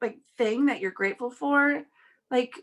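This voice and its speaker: This woman has a bright, sharp tone and ordinary pitch variation. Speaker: network marketing team leader and show host. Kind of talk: casual morning video call chat. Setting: video call. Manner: many filler words, hesitant.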